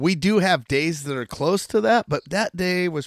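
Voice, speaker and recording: In a very clean recording with a silent background and a dry, close sound with no echo, a man with an American accent and a plain, everyday voice speaks at a moderate pace with lively intonation. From Oregon. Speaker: outdoor podcast host. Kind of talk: casual chat.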